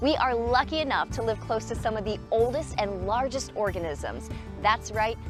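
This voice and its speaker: A woman's voice at a moderate pace, with music in the background. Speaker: broadcast meteorologist. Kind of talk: TV hiking series host.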